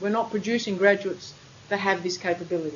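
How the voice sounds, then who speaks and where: Very rapid female speech against noticeable background noise. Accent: Australian. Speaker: university lecturer. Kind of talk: lecture. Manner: fast.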